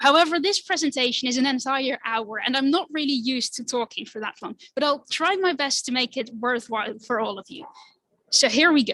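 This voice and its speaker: A woman with a Dutch accent uses a raised, projected voice at a high pitch. Her tone is bright and sharp, with ordinary pitch variation. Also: fairly quick pace. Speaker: climate activist. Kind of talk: presentation. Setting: stage with audience. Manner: animated.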